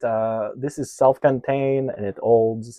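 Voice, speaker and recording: With a non-native accent, a man talks at a fairly slow pace. His pitch is medium. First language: not English. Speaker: DIY RV tech vlogger. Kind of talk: casual hands-on tutorial. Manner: hesitant, many filler uhs.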